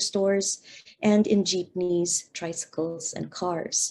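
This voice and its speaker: Her tone dark and mellow, a woman with a Filipino accent speaks at a fairly slow pace, medium in pitch with fairly even intonation. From Philippines, Manila. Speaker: professor. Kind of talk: lecture. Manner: halting.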